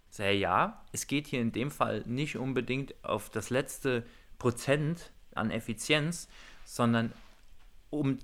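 The recording is very clean, with a silent background. A man of medium pitch speaks at a very slow pace with ordinary pitch variation and long, frequent pauses. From Hunsrück, southwestern Germany. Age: 30s. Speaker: assembly manager and village energy activist. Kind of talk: interview. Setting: walking outdoors through village.

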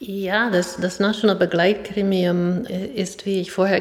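Over noticeable background noise, a woman with an American accent and a medium pitch speaks at a very slow pace with fairly even intonation. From US, New York City. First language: English (speaking German). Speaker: professor and chair of a citizen advisory body. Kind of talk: interview. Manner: halting.

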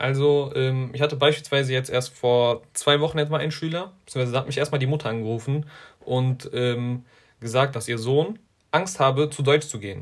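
This man has an unremarkable speaking voice and talks at a moderate pace. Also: fairly high pitch for a man, ordinary pitch variation. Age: 20s. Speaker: school coordinator for tutoring initiative. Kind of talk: interview. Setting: video call.

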